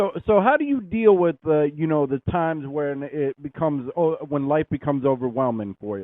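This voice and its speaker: An unremarkable speaking voice goes along at a moderate pace. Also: man, fairly high pitch for a man, lively intonation, hardly any pauses. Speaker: radio interviewer. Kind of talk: radio interview host.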